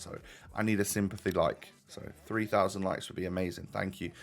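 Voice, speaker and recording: In a put-on character voice, a man sounds raspy and speaks fairly quickly at a fairly low pitch, his intonation monotone and flat while his loudness swings widely. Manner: fake, for sympathy.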